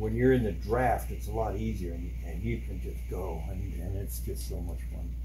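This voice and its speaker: Over noticeable background noise, a man speaks at a moderate pace in a very deep, low voice with monotone, flat intonation. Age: 60s. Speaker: hobbyist doing bike repairs. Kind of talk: casual tutorial. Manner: casual, halting with fillers.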